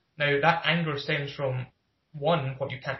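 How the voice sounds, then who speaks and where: A man with a Glaswegian accent speaks at a moderate pace in a fairly high pitch, his intonation flat and monotone. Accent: Glaswegian Scottish. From Scotland, Glasgow. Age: 20s. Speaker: podcast guest. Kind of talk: casual interview chat.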